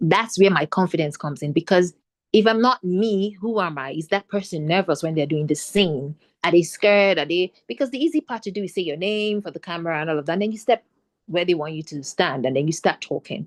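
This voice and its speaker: Her fairly low voice moves at a fairly quick pace with lively intonation. The woman's sound is dry and close, with no echo. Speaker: actor. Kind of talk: panel discussion. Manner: fast.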